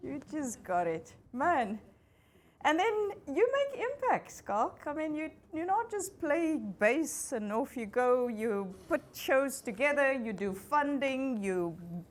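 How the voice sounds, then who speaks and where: Audible room echo surrounds a woman's high voice. She speaks very slowly, with very wide pitch swings. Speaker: facilitator and business school lecturer. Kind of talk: fireside chat on stage.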